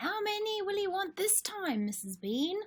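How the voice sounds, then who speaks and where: In a put-on character voice, a woman talks at a moderate pace, squeaky and extremely high in pitch. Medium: read story. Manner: deferential, coarse.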